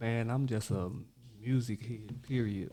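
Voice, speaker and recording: In a Houston accent, the speaker uses a dark, mellow tone with fairly even intonation at a very slow pace. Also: man. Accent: Houston-like. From Monroe, Louisiana. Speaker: rapper. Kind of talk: casual interview.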